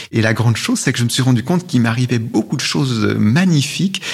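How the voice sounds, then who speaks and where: Noticeable noise fills the background. Over it, a man talks at a medium pitch. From Switzerland, Valais (Val d'Hérens). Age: 50s. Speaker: essayist and author. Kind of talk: interview. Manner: halting.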